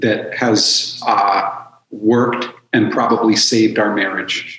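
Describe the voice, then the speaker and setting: A calm-toned man speaking at a very slow pace, with audible room echo. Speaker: addiction counselor and author; podcast guest. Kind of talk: casual interview; interview answer. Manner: calm and direct. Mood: calm, reflective.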